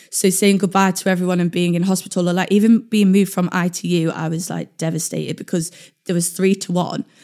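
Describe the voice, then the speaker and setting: Speaking at a very fast pace with a London accent, a woman holds a medium pitch and a monotone, flat intonation on a very clean recording with a silent background. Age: 20s. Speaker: wheelchair user and traveller. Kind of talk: casual interview.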